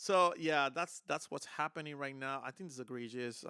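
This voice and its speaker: Dry and close with no echo, a man with a Spanish accent speaks at medium pitch in a bright, sharp tone, in a very clean recording with a silent background. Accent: Spanish accent, noticeable. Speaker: guitar content creator, streamer. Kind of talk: live stream casual talk. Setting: live stream. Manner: hesitant, many fillers.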